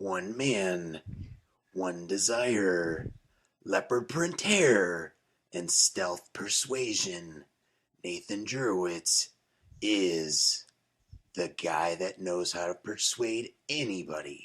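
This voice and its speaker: A man's put-on character voice, very deep and low in pitch, at a very slow pace with long, frequent pauses. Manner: dramatic, slow.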